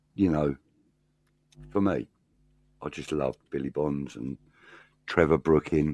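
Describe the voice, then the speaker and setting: A man speaks at a fairly slow pace with long, frequent pauses. His very deep, low voice has ordinary pitch variation and sounds dry and close with no echo. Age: 60s. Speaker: football pundit. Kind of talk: casual chat.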